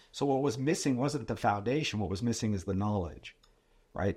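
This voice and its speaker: Here is an unremarkable speaking voice at a moderate pace. The recording is very clean, with a silent background. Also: man. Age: 60s. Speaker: financial advisor and mentor. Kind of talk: casual chat.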